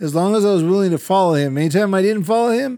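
A man with an ordinary speaking voice, fairly quick and lively in intonation, on a very clean recording with a silent background. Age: 50s. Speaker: pastor and podcast co-host. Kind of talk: casual chat.

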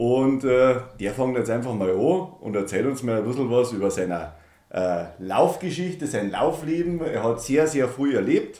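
Heard with audible room echo, a man with a Bavarian accent speaks at a moderate pace and medium pitch with lively intonation. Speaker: podcast host. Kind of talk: casual chat. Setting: at home in a conservatory.

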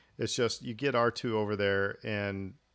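A man's fairly low, fairly even voice with an American accent, an ordinary speaking voice on a very clean recording with a silent background. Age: 40s. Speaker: podcast host. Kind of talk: casual chat.

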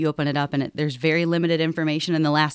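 A woman speaks in a very deep, low voice with a Midwestern American accent. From northwest Ohio. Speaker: hospital operations executive. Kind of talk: casual interview. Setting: auditorium.

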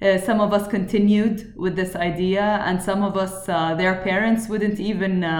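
A woman talks over noticeable background noise. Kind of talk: interview.

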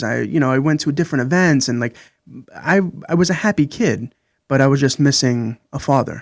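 In a very clean recording with a silent background, a man with an unremarkable speaking voice talks at a moderate pace and a fairly high pitch, the sound dry and close with no echo. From Brooklyn, New York. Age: 30s. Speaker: podcast guest. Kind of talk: interview.

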